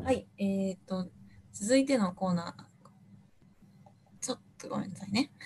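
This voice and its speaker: A woman's somewhat breathy, dark, mellow voice at medium pitch, with ordinary pitch variation, a moderate pace, long, frequent pauses and big swings in loudness. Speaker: radio show co-host. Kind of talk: casual chat. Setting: video call.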